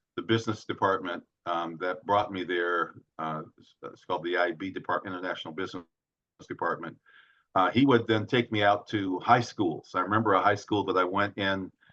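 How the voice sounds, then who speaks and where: A man's fairly low-pitched, bright and sharp voice with an American accent, fairly quick and fairly even in intonation, with big swings in loudness. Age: 70s. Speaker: author and former activist. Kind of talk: interview. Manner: halting.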